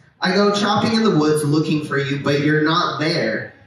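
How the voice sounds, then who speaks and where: A man talks at a fairly high pitch over noticeable background noise. Audible room echo surrounds his voice. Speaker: poet. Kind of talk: poetry reading. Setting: stage at outdoor street festival.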